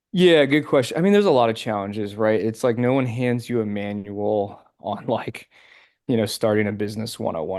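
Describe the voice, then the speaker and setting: A man with an American accent talks at a fairly quick pace in a plain, everyday voice, medium in pitch with ordinary pitch variation, over a quiet background. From Pennsylvania, Philadelphia area. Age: 30s. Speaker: financial advisor. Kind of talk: podcast interview. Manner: casual, many fillers.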